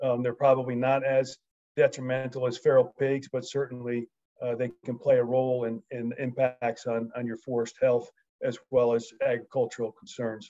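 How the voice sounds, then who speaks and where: Speaking with an American accent, a man has a medium pitch and a dark, mellow tone. His intonation is monotone and flat at a moderate pace, over a quiet background. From United States. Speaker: wildlife management expert. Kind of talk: presentation. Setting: video call. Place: home room. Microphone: video call.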